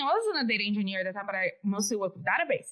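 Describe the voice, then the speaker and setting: The speaker is a woman. She talks with a Brazilian accent. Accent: Brazilian accent, pronunciation errors. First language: Portuguese. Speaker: developer advocate. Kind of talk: podcast interview. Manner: casual, conversational.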